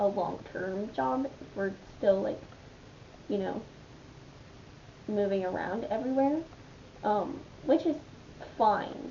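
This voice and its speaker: Speaking very slowly at a medium pitch, a woman's voice makes very wide pitch swings amid audible room echo. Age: 20s. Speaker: vlogger. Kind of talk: casual chat. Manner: rambling with many fillers.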